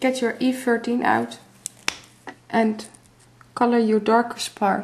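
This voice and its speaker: Over noticeable background noise, a woman with a fairly high pitch speaks at a very slow pace, her intonation monotone and flat and her loudness very even. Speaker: craft tutorial maker. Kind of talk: tutorial.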